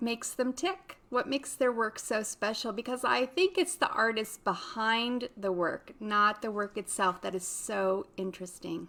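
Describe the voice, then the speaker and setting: Amid noticeable background noise, a woman with a fairly high voice talks at a moderate pace with lively intonation and hardly any pauses. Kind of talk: podcast intro and interview questions.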